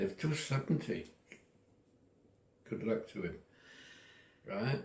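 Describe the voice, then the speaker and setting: A man's dark, mellow voice at medium pitch, with vocal fry and very wide pitch swings. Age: 80s+. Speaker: retiree sharing personal philosophy. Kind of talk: personal monologue. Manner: halting.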